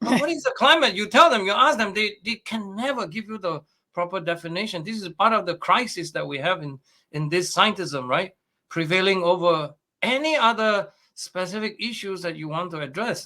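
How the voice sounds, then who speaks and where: A raised, projected voice with a bright, sharp tone carries lively intonation at a moderate pace. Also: man, high pitch for a man. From Malaysia. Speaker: astrophysicist. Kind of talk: interview.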